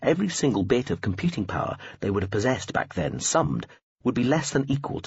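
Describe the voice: Lively intonation marks this plain reading aloud over a quiet background.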